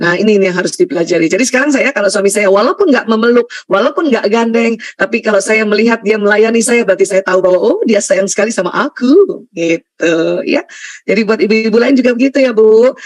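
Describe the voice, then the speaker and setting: A woman with a fairly high pitch rattles along at a very fast pace with hardly any pauses, her intonation lively and her loudness very even. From Indonesia, Bugis heritage (South Sulawesi). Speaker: Islamic lecturer, doctor. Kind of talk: religious lecture.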